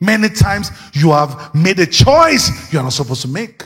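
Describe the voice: A man's high-pitched voice with big pitch swings, a fairly bright tone, a slightly husky edge and a moderate pace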